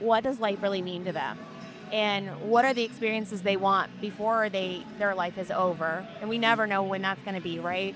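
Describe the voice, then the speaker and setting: A woman of medium pitch speaks with fairly even intonation. Music plays behind her. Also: moderate pace. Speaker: street interviewer, former career coach. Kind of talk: casual interview questions.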